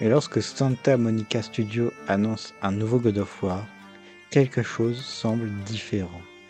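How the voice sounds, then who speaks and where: Music in the background under a man's fairly low pitch, fairly even intonation, and very slow pace. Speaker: video game commentator. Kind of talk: video essay narration. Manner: stuttering.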